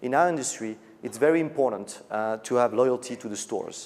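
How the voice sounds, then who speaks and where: With normal rises and falls in pitch, a man delivers his words fairly quickly. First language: French. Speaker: business executive. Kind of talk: conference keynote speech.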